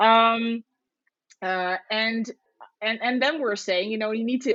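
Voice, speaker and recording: A woman speaks with a Dutch accent. Her pace is moderate, with ordinary pitch variation. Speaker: podcast co-host. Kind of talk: casual chat. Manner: halting, many repetitions.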